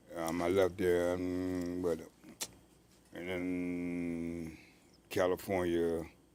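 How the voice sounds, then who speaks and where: In a very deep, low pitch, a man speaks very slowly in a monotone, flat intonation, with long, frequent pauses and audible room echo. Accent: American. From Virginia, Richmond. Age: 60s. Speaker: mime and author, army veteran. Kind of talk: casual interview.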